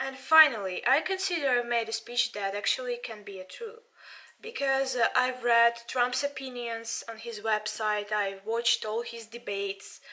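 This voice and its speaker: Speaking in a Russian accent, a woman has a high pitch and a bright, sharp tone. Her pace is moderate, with ordinary pitch variation. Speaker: politics student and channel owner. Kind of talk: video commentary. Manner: halting.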